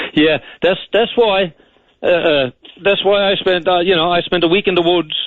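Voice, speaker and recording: A man's high-pitched voice in a Newfoundland accent, fairly even in intonation and very even in loudness. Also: moderate pace. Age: 60s. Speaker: caller. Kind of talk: radio call-in. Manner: halting, repetitive.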